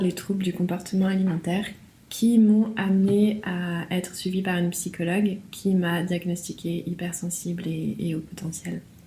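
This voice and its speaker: A somewhat breathy, dark, mellow voice at a fairly slow pace with monotone, flat intonation. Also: woman. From France. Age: 30s. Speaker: interview guest sharing testimony. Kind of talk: testimony. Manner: hesitant, repeats words.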